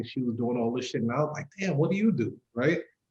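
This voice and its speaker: A man speaks with a New York accent in a somewhat breathy voice. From Brooklyn, New York. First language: not English. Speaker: entrepreneur. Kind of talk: casual interview. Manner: casual, profane.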